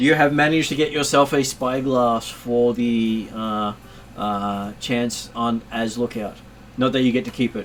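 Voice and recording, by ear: The speaker is reading aloud in a natural voice, the pitch varying in an ordinary way.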